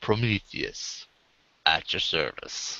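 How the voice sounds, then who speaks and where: A man at a medium pitch in a put-on character voice. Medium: actual play. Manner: polite, genteel.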